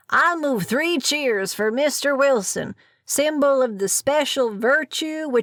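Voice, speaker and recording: Speaking slowly in a put-on character voice, a woman holds a high pitch at very even loudness on a very clean recording with a silent background. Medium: read story.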